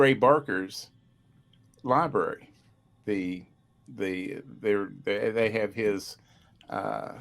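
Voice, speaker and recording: In an Appalachian accent, a man speaks very slowly in a fairly low voice, with ordinary pitch variation and long, frequent pauses. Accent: Appalachian American. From West Virginia. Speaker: paranormal researcher. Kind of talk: casual chat. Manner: halting.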